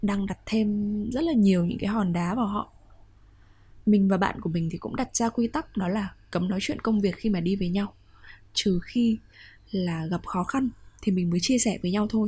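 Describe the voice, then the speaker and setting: Leaving long, frequent pauses, a woman speaks at medium pitch with ordinary pitch variation in a somewhat breathy voice of dark, mellow tone. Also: moderate pace, very clean recording, silent background. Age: 20s. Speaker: podcast host. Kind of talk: personal monologue podcast.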